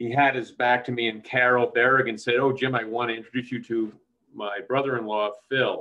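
Over a quiet background, a man speaks at a fairly quick pace. His intonation is monotone and flat. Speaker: film co-producer. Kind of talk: panel discussion. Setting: video call. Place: kitchen. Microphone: webcam.

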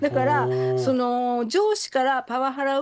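Noticeable background noise sits behind a woman with a high pitch. She talks at a fairly quick pace. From Hiroshima, Japan. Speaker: psychiatrist and author. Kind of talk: radio interview.

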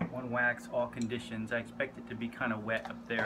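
A man speaking at a moderate pace against loud background noise. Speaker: skier vlogger. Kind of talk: casual vlog tutorial. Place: workshop. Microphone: phone near.

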